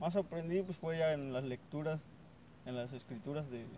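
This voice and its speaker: Dark and mellow in tone, a man's fairly high voice moves at a moderate pace with ordinary pitch variation. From Veracruz, Mexico (Huasteca). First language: Nahuatl (speaking Spanish). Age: 20s. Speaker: student, native Nahuatl speaker. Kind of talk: interview.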